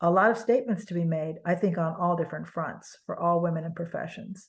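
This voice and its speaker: A woman's somewhat breathy, fairly low voice with an American accent at a fairly quick pace. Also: fairly even intonation. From Los Angeles, with childhood in Germany. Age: 70s. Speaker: artist. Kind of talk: interview. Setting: video call.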